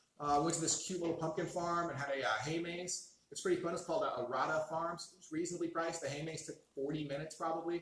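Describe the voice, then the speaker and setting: Amid noticeable background noise and audible room echo, a man talks very fast at a high pitch with fairly even intonation. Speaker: beer review show host. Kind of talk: casual chat.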